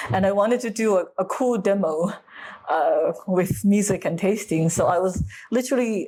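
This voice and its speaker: A woman's dark, mellow, somewhat breathy voice, with ordinary pitch variation and very even loudness. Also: medium pitch for a woman, moderate pace. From USA. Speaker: food scientist, wine expert. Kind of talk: interview answer. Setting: low-quality recording.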